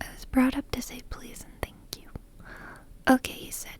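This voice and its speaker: Someone whispers in a calm tone. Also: woman. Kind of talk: soft book reading. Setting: home microphone recording. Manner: soft-spoken, calm, slow.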